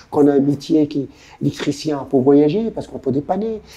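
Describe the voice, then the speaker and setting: A man's dark, mellow voice at a fairly quick pace with lively intonation. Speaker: adventurer and endurance athlete. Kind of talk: interview.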